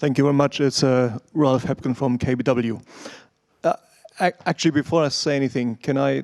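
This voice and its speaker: With a German accent, a man speaks at a moderate pace and medium pitch, with fairly even intonation, very even loudness, and a dry, close sound with no echo. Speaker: financial analyst. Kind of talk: question at investor Q&A.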